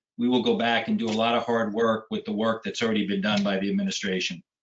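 In an unremarkable speaking voice, a man talks at a medium pitch with ordinary pitch variation. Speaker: school construction project manager. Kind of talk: project report at public meeting. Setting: video call. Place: home room. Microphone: video call.

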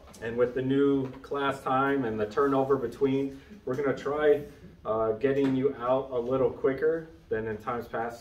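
Audible room echo around a man at a moderate pace. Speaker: Sunday school teacher. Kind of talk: lecture. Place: classroom. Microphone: camera far.

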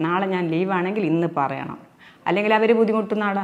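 With fairly even intonation, a woman talks in a normal speaking voice. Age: 60s. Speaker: actress and social media video creator. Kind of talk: interview.

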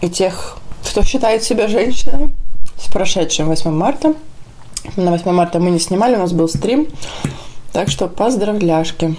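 A woman's voice at a fairly slow pace, with long, frequent pauses and light background noise. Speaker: food vlogger. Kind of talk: casual mukbang vlog chat. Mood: cheerful, relaxed. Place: kitchen.

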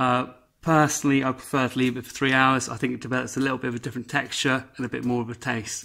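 A man with an English accent at a very fast pace, over a quiet background. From England. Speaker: home cook. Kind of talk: casual cooking tutorial to camera. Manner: upbeat, jokey. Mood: relaxed, cheerful. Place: kitchen. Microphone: camera far.

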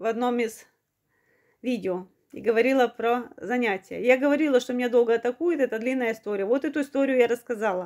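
Talking at a fairly quick pace with long, frequent pauses, a woman uses a high pitch and ordinary pitch variation. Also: quiet background. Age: 40s. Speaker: video blogger. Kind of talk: personal testimony. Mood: earnest, aggrieved storytelling. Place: home room. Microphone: phone near.

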